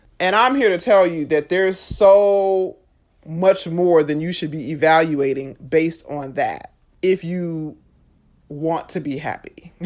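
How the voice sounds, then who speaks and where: A woman speaks in a normal speaking voice at a fairly slow pace, her fairly low pitch paired with big swings in loudness, on a very clean recording with a silent background. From USA, Jamaican family. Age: 30s. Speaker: podcast host. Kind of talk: podcast monologue. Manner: conversational.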